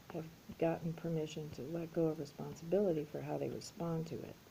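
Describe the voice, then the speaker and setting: With a dark, mellow tone and a somewhat breathy quality, a woman speaks at a fairly low pitch and a moderate pace. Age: 60s. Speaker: YouTuber sharing personal adoption story. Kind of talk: personal monologue vlog. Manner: casual, animated.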